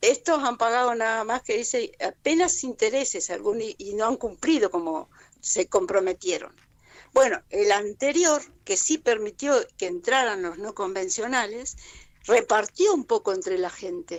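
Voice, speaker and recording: A woman in a Rioplatense accent, fairly high in pitch, at a fairly slow pace. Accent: Argentine Rioplatense Spanish. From Argentina, Alto Valle of Río Negro (Allen). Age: 70s. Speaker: community activist. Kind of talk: radio interview. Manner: halting, with many false starts.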